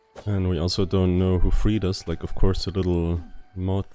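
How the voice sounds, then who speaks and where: In a non-native accent, a man with a very deep, low pitch speaks in a relaxed tone and a monotone, flat intonation. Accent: non-native accent, self-noted. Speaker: gaming YouTuber. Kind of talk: game commentary. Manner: relaxed, laid back.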